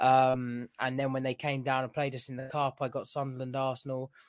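A man at medium pitch and moderate pace, dry and close with no echo, in a very clean recording with a silent background. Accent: southern English. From southern England. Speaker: football fan. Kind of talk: casual chat.

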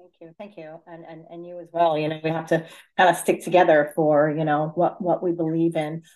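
Speaking in an American accent, a woman with a fairly low pitch talks at a fairly quick pace in a monotone, flat intonation, with big swings in loudness. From Fairfield County, Connecticut. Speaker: city council candidate. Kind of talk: interview.

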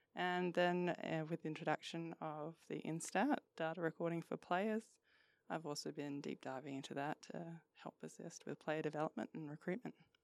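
This woman's pitch is very deep and low. She speaks at a moderate pace, and the sound is dry and close with no echo. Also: ordinary pitch variation. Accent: Australian. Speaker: football analyst. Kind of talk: casual chat.

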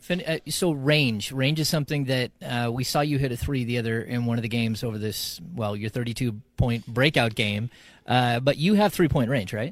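A man with an ordinary speaking voice at medium pitch, ordinary pitch variation, a moderate pace and hardly any pauses, on a very clean recording with a silent background. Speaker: co-interviewer. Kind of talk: interview.

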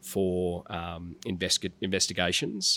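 With an Australian accent, a man speaks at a very deep, low pitch in a bright, sharp tone and monotone, flat intonation, on a very clean recording with a silent background and a dry, close sound with no echo. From rural New South Wales, Australia. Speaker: tech policy executive. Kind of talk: interview.

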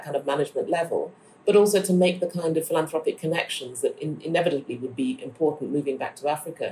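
A woman's somewhat breathy voice sits at a fairly low pitch. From Ghana. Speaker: architect, academic and novelist. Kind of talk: interview.

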